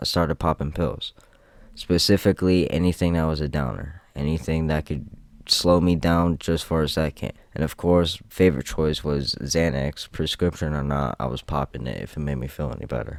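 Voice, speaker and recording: This man has a very deep, low pitch and fairly even intonation. He talks at a moderate pace on a very clean recording with a silent background. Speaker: gaming youtuber and rapper. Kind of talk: scripted narration.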